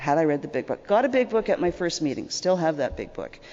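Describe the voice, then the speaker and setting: Very fast speech with a Canadian accent. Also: woman. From Canada. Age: 60s. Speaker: recovering alcoholic speaker. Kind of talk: testimony. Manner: conversational, repetitive fillers.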